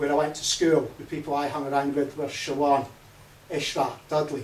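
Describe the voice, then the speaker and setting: A man at a fairly high pitch and fairly quick pace, with audible room echo. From Scotland. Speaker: party leadership candidate. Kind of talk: campaign speech. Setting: hustings event with audience.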